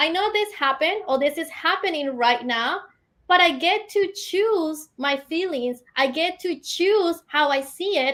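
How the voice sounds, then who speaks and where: Her voice is extremely high for a woman, with lively intonation. She speaks at a fairly slow pace. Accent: non-native. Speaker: entrepreneur and business coach. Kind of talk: interview.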